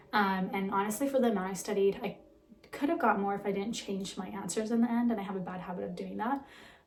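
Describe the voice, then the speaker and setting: A woman talks at a very fast pace at medium pitch with ordinary pitch variation. Noticeable background noise runs underneath. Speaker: vlogger. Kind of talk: casual vlog monologue. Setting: at home. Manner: casual, filler-heavy.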